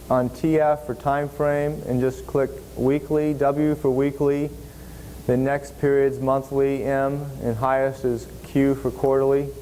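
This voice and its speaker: Fairly slow and monotone, a man with a fairly high pitch keeps his loudness very even over noticeable background noise. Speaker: seminar instructor. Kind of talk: software tutorial.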